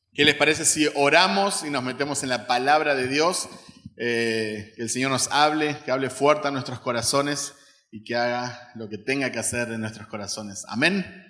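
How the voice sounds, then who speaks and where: With big swings in loudness, a man speaks at medium pitch and a moderate pace with ordinary pitch variation, amid noticeable background noise and audible room echo. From Uruguay. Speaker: missionary, guest preacher. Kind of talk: sermon. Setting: church service with congregation.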